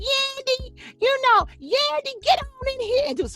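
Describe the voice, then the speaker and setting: A female-sounding put-on character voice, extremely high in pitch, moves at a moderate pace. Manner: bossy, calling someone in.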